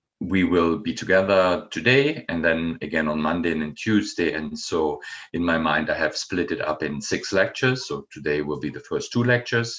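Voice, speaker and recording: A man with a German accent, at a moderate pace. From Germany, Bonn area. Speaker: professor. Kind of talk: lecture. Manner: halting, many fillers.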